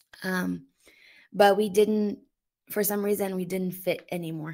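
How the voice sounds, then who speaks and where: A woman with a Portuguese accent speaks at a medium pitch with fairly even intonation, on a very clean recording with a silent background. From Brazil. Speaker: YouTuber and mother. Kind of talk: interview testimony. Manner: halting, many fillers.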